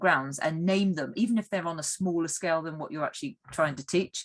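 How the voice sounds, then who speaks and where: Speech moves along fairly quickly. The pitch shows ordinary variation. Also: woman. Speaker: teacher trainer. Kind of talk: online training session. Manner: fast.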